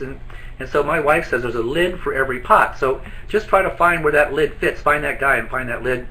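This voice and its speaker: With lively intonation, a man speaks at a fairly quick pace over noticeable background noise. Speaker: business trainer. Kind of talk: training presentation. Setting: office, live online broadcast. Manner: fast.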